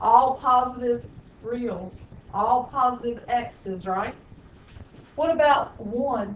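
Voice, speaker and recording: A woman with a Southern US accent speaks at high pitch and a very slow pace, with ordinary pitch variation, long, frequent pauses and audible room echo. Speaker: high school math teacher. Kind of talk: classroom lecture. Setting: classroom.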